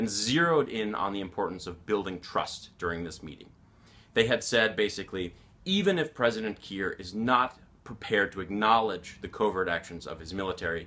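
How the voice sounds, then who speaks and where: With a fairly low pitch and a bright, sharp tone, a man talks fairly quickly, his loudness swinging widely while his pitch varies in an ordinary way. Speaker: journalist. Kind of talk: explanatory monologue to camera. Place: office.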